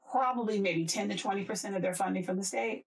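Her pitch medium and her intonation lively, a woman talks at a moderate pace. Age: 50s. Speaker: political podcast host, former congressional staffer. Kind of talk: casual political chat. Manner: animated, with frequent repetitions and fillers.

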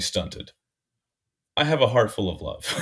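A man with a somewhat breathy voice speaks at a very fast pace on a very clean recording with a silent background. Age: 30s. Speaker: artist and comedian. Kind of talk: casual chat.

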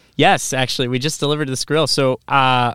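In a Midwestern American accent, a man talks at a very fast pace with medium pitch and ordinary pitch variation, the sound dry and close with no echo. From Iowa, Quad Cities. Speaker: restaurant marketing employee. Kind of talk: casual chat. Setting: studio.

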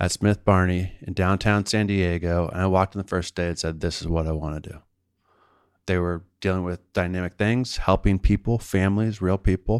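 At a moderate pace, a man with an American accent speaks in a very deep, low voice with fairly even intonation, on a very clean, dry, close recording with a silent background and no echo. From US East Coast, outside Washington, D.C. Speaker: financial planner. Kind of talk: interview.

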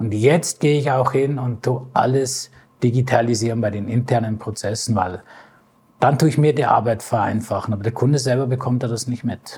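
A somewhat breathy man talks at a moderate pace with fairly even intonation. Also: medium pitch for a man. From Bavaria, Ingolstadt. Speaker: lecturer and automotive data expert. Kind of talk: interview.

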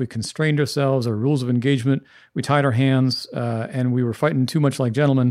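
On a very clean recording with a silent background, a man talks at a fairly quick pace with medium pitch and ordinary pitch variation. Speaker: professor and former army intelligence officer. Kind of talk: panel discussion. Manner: calm.

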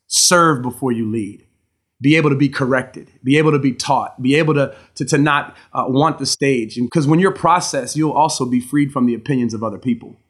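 A plain, everyday voice from a man with an American accent, fairly high in pitch and fairly quick, with ordinary pitch variation on a very clean recording with a silent background. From Maryland, Baltimore area. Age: 40s. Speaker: pastor. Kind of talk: interview.

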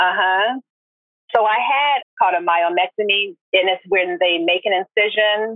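Here a normal speaking voice belongs to a woman at medium pitch, moving at a fairly slow pace. Her loudness stays very even and her pitch varies in an ordinary way. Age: 40s. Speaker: retired army nurse. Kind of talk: casual chat.

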